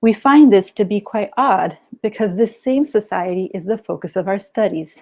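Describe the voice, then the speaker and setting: Against a quiet background, a woman speaks at a moderate pace with a medium pitch and a dark, mellow tone. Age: 30s. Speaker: PhD student in anthropology. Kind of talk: academic conference presentation. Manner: formal.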